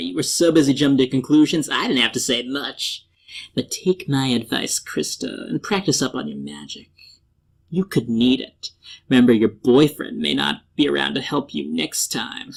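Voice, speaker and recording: Drawling in a put-on character voice, the speaker keeps a low-to-middle pitch at a moderate pace. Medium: audio drama. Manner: smooth, drawling, mocking.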